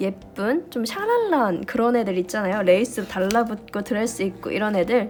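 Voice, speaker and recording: A woman's pitch swings very widely at a moderate speed, with background noise clearly present. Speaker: diary-decorating YouTuber. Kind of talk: tutorial.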